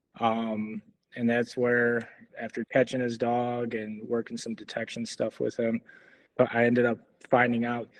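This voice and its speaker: A man speaks with a Chicago accent at a moderate pace. His medium-pitched voice has monotone, flat intonation. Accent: Chicago American. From US Midwest, Chicago. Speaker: dog trainer, Marine veteran. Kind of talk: casual interview, life story.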